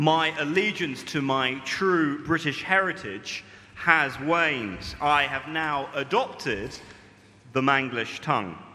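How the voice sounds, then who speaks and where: Talking at a very slow pace, a man with a fairly high pitch and ordinary pitch variation is heard with audible room echo. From Britain. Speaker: preacher. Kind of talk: sermon.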